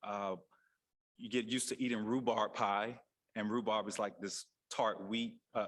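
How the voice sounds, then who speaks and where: With an American accent, a man speaks at a moderate pace in a medium pitch, his intonation monotone and flat and his pauses long and frequent. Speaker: physician. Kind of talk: panel discussion. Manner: halting.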